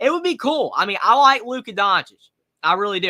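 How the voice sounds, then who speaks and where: A man speaks with a Southern accent. His intonation is lively. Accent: Southern, moderate. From North Carolina. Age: 20s. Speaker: sports streamer. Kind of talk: live reaction commentary. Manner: casual, repetitive filler words.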